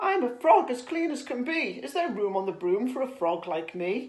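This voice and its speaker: Doing a put-on character voice, a woman speaks in a croaky, high pitch at a moderate pace, with very wide pitch swings. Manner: polite, cheerful.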